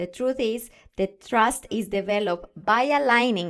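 With an enthusiastic tone and a non-native accent, a woman talks with ordinary pitch variation over a silent background in a very clean recording. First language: not English. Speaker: podcast host, confidence and communication coach. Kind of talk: solo podcast monologue.

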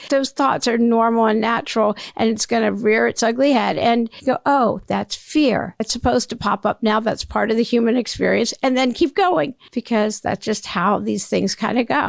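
A woman with a fairly high pitch and vocal fry speaks at a moderate pace with hardly any pauses. Her pitch variation is ordinary, and the sound is dry and close with no echo. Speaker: podcast host. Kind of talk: solo monologue.

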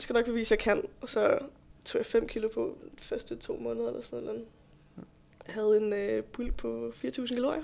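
A woman talks at a moderate pace, her loudness swinging widely. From Denmark, Roskilde. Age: 20s. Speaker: bodybuilding competitor and fitness instructor. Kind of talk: podcast interview.

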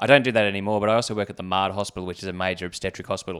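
A man with an Australian accent speaks at a fairly low pitch with fairly even intonation, on a very clean recording with a silent background. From Australia (Canberra). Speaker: former Olympic rower and anesthetist. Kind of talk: casual chat.

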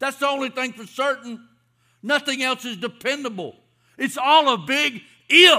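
A man with a Southern US accent projects his voice at an extremely high pitch, with a bright, sharp tone. He speaks fairly slowly, with ordinary pitch variation and big swings in loudness. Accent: Southern US (Georgia). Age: 50s. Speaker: pastor. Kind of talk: sermon. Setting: church.

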